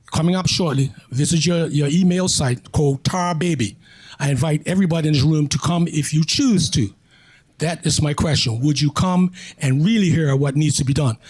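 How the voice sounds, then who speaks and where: A man speaks at a fairly high pitch, somewhat breathy. His loudness stays very even. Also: ordinary pitch variation, moderate pace. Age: 70s. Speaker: audience member and community activist. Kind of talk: public Q&A statement. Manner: insistent.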